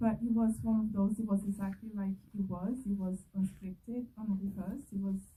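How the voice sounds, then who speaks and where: With a Brazilian accent, a woman speaks at a moderate pace and medium pitch, somewhat breathy and dark, mellow in tone, with ordinary pitch variation. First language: Portuguese. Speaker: filmmaker. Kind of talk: festival Q&A. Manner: animated.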